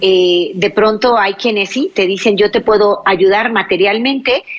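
Speaking at a fairly slow pace, a woman uses a medium pitch and ordinary pitch variation over noticeable background noise. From Mexico, Baja California Sur. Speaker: radio host, psychologist. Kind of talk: religious call-in radio show. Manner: animated.

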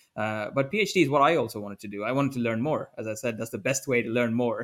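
With ordinary pitch variation, a man talks at a very fast pace. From multinational upbringing (India, Africa, Vietnam, Bosnia). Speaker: scientist. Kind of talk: interview.

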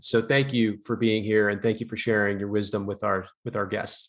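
A man is speaking. His tone is enthusiastic. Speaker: podcast host, fitness professional. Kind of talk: casual interview.

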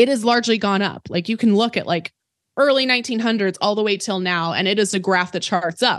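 The speaker has an ordinary speaking voice and ordinary pitch variation. Delivery comes at a fairly quick pace over a quiet background. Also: woman. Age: 20s. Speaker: personal finance educator and author. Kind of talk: interview.

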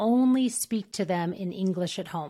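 In an American accent, a normal speaking voice moves at a fairly slow pace with ordinary pitch variation, recorded very cleanly against a silent background. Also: woman. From New Mexico, US. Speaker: podcast host, speech-language pathologist. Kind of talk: interview, casual professional chat.

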